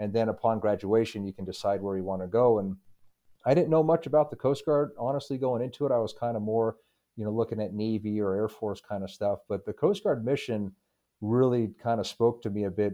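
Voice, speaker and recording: A man with an American accent talks at a fairly quick pace in an ordinary speaking voice, medium in pitch with ordinary pitch variation. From Utah, Park City area. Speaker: military officer and naval engineer. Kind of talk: interview.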